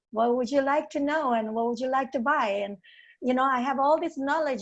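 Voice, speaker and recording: A woman's high-pitched voice in a strong East Asian accent, with ordinary pitch variation and a quiet background. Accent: heavy non-native accent, East Asian. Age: 60s. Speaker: golf professional. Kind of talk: panel discussion. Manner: halting with hesitations.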